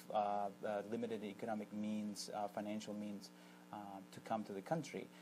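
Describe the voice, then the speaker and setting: This is a man speaking. His pitch is fairly low. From Argentina. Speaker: immigration attorney. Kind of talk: TV interview. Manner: hesitant, many fillers and repetitions.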